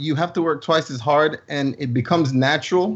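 A man speaks in a somewhat breathy voice at a fairly high pitch. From Jamaica. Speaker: filmmaker and Navy veteran. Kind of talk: casual chat.

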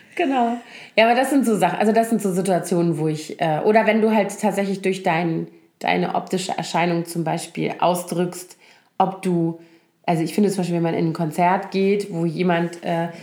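Noticeable background noise and audible room echo accompany a woman whose intonation stays fairly even. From Germany, Koblenz (Rhineland). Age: middle-aged. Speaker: podcast co-host. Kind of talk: casual chat.

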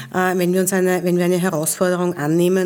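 Moving at a fairly quick clip, a woman's speech carries a dark, mellow tone. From Vienna, Austria. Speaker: transport company executive. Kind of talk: interview.

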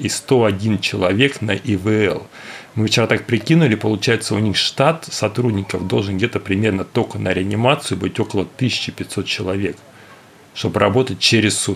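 The speaker keeps a moderate pace and ordinary pitch variation while noticeable background noise runs underneath. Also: man. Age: 40s. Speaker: forensic medical expert. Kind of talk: casual chat.

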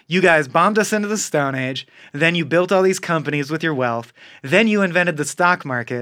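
Recorded very cleanly against a silent background, this bright, sharp voice moves at a moderate pace with ordinary pitch variation. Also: man. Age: 30s. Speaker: podcast co-host. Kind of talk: casual chat. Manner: animated.

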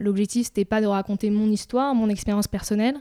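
A woman's dark, mellow, medium-pitched voice at a fairly quick pace with fairly even intonation, dry and close with no echo, on a very clean recording with a silent background. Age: 20s. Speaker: startup founder. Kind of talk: interview. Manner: halting, many fillers.

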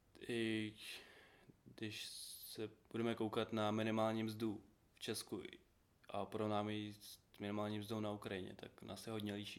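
This man speaks at a very slow pace. His pitch is medium. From Ukraine. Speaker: small business owner. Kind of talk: casual interview.

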